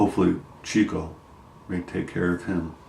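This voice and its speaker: A man with a very deep, low voice and a dark, mellow, somewhat breathy tone speaks at a fairly slow pace. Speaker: vlogger sharing health update. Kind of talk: personal video diary. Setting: at home. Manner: halting, many fillers.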